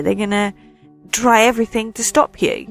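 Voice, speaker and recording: A woman speaks at a medium pitch with music in the background. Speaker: radio DJ. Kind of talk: casual dream recounting to camera.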